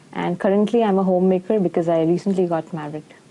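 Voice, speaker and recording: A woman talks in an Indian accent. Her tone is dark and mellow. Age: 20s. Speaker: nutritionist. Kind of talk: patient testimonial.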